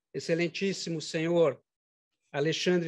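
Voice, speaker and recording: Against a quiet background, a man with fairly high pitch speaks at a moderate pace. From Santa Catarina, Brazil (Tubarão); Santa Catarina, Brazil. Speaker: judge. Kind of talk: formal inauguration speech. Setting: courtroom ceremony with audience. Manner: formal. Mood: solemn, grateful. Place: hall. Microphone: podium.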